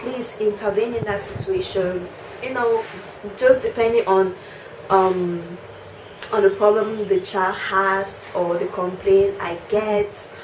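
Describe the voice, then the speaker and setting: A woman speaks at a very slow pace with fairly even intonation. The room echo is audible and the background noise is noticeable. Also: medium pitch for a woman. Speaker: teacher and vlogger. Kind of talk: casual vlog talk.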